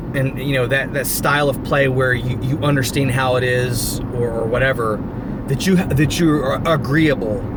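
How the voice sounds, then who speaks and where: Amid noticeable background noise and audible room echo, a man speaks at a moderate pace with fairly even intonation and very even loudness. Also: medium pitch for a man. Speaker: gaming YouTuber. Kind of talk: casual vlog monologue. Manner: halting, repeats words.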